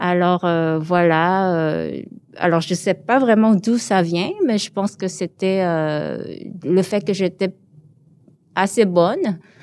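A woman speaks at a very slow pace with a Korean accent. The recording is very clean, with a silent background. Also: medium pitch for a woman, ordinary pitch variation. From born in Seoul, raised in Montreal from age 12. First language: Korean (speaking French). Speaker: visual artist. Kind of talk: interview. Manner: hesitant, many fillers.

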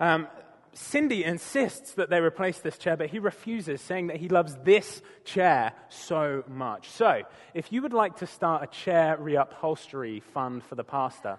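With a British accent and a fairly high pitch, a man speaks at a fairly slow pace with lively intonation. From Britain. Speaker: preacher. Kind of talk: sermon.

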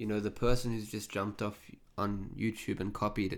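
The speaker has an Australian accent and a moderate pace, with monotone, flat intonation. The recording is very clean, with a silent background. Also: man. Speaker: podcast host. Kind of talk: interview.

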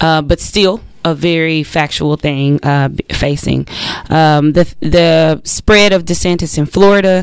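A woman with an American accent speaks at a very deep, low pitch and a fairly slow pace. Her intonation stays fairly even amid noticeable background noise. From US South. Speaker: radio co-host. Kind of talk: radio talk show. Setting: radio studio.

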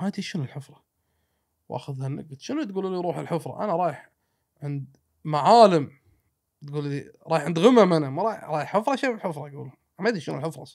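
In a Kuwaiti accent, a man with a fairly high voice talks at a fairly quick pace with lively intonation, big swings in loudness and long, frequent pauses. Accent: Kuwaiti Gulf Arabic. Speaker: traveler and road-trip adventurer. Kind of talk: casual storytelling chat.

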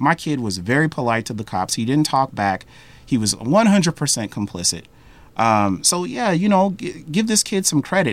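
A man at a moderate pace with very wide pitch swings, on a very clean recording with a silent background. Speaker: university administrator and instructor. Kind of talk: interview. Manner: off the cuff.

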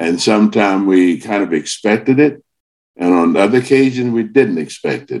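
Speaking at a moderate pace, a man with a fairly low pitch uses ordinary pitch variation. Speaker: author. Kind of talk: interview chat.

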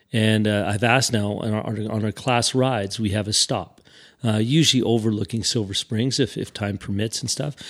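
A man with a Canadian accent talks at a fairly quick pace in a fairly low pitch. His intonation stays fairly even against a quiet background. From Saskatchewan, Canada (Regina). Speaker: motorcycle riding instructor. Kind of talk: interview. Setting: studio. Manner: halting.

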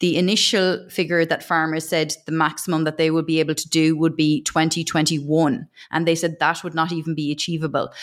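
A woman with an Irish accent speaks at a fairly quick pace with hardly any pauses, her pitch very deep and low. Her intonation is flat and monotone, in a very clean recording with a silent background. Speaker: agricultural news interviewer. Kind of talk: interview.

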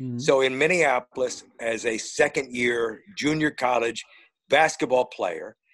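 Speaking with an American accent, a man has an unremarkable speaking voice, medium pitch and fairly even intonation. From northern Indiana, US Midwest. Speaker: retired sports talk radio host. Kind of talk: casual interview chat.

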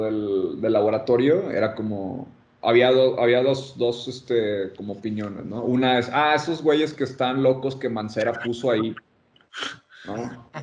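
Here a man speaks in a plain, everyday voice at a fairly slow pace. His medium pitch follows fairly even intonation. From Mexico, Monterrey. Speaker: design consultant. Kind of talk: casual chat.

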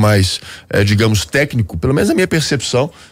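A man speaks in a normal speaking voice at a moderate pace. His intonation is lively, and the recording is very clean with a silent background. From Belo Horizonte, Minas Gerais, Brazil. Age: 30s. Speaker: politician, former federal deputy. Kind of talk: radio interview. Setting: radio studio.

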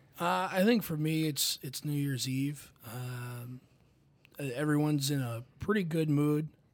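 With a normal speaking voice, a man talks at a fairly slow pace, fairly high in pitch, with ordinary pitch variation. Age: 20s. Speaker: college staff member. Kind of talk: casual chat.

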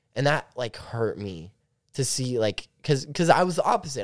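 A man with an ordinary speaking voice and a medium pitch uses lively intonation at a moderate pace in a very clean recording with a silent background. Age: young. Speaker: college student. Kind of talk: casual chat.

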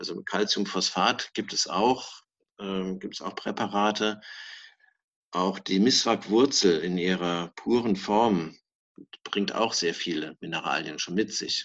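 Very slow speech from a man, fairly low in pitch, its pitch varying in an ordinary way. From southwestern Germany, Palatinate and Mosel. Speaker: dentist. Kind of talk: interview.

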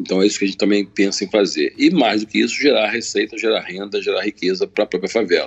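Words come out extremely quickly. Pauses barely occur. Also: man. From Rio de Janeiro, Baixada Fluminense. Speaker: community organizer and entrepreneur. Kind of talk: interview.

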